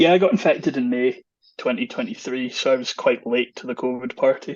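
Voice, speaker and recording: A man talks in a Scottish accent. His pace is fairly quick. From Scotland. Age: 30s. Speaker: long covid patient sharing his story. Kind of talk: podcast interview.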